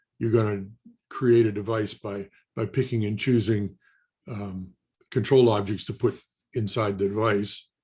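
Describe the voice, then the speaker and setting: Somewhat breathy, a man speaks at a medium pitch in a dark, mellow tone. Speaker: technical presenter, standards expert. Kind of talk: webinar lecture. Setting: online webinar. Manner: fast; halting, many restarts and fillers.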